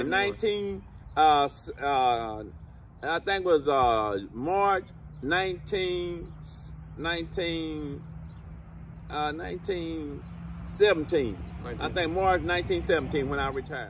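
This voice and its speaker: A man's fairly high voice at a very slow pace, with long, frequent pauses and noticeable background noise. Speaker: retired worker, grandfather. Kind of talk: interview answer. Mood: calm, reflective. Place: open country.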